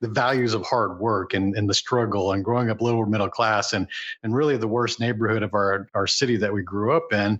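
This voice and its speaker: A man with an American accent and a plain, everyday voice, fairly low in pitch, fairly quick in pace, at very even loudness. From Houston, Texas. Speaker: entrepreneur and business mentor. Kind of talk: interview conversation.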